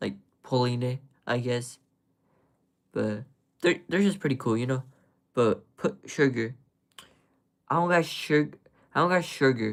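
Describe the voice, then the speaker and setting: With a relaxed tone, a man speaks at a medium pitch and a fairly slow pace, using ordinary pitch variation and long, frequent pauses. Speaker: live streamer, ant keeper. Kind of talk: casual live stream chat. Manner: relaxed, laid-back; filler-heavy, hesitant.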